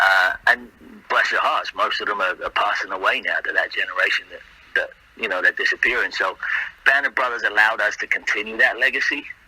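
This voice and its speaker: Fairly quick speech from a man amid noticeable background noise. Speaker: actor. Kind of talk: casual interview chat.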